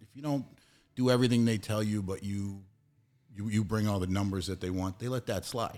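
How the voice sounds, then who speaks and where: A man's fairly low voice in an American accent, a normal speaking voice with ordinary pitch variation, on a very clean recording with a silent background. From New England, US. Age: 40s. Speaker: CBD business owner, former gym manager. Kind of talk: casual interview.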